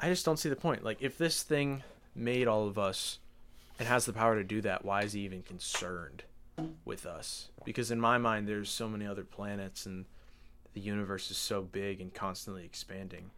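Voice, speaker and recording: A man at a fairly quick pace, fairly low in pitch with ordinary pitch variation, music in the background. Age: 20s. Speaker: podcast co-host. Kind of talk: casual chat.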